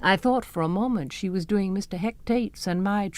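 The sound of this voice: The reading voice is unforced, and its pitch moves in an ordinary way.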